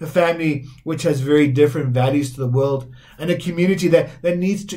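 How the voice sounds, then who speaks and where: A man's dark, mellow, somewhat breathy tone at a fairly high pitch and moderate pace, over a quiet background. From South Africa. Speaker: Methodist minister. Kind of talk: sermon. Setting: recorded online church service. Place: home room.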